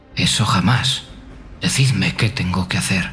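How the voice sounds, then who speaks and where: A man's raspy, put-on character voice, fairly low in pitch, at a moderate pace with lively intonation. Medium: read story. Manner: proud, earnest.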